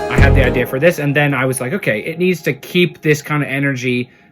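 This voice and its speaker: Very fast speech from a man, music playing behind him. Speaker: music producer. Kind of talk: tutorial. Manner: halting.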